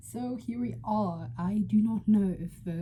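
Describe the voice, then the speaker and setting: With a dark, mellow tone, the woman speaks in a somewhat breathy voice. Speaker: book vlogger. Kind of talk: casual vlog. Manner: hesitant, many fillers.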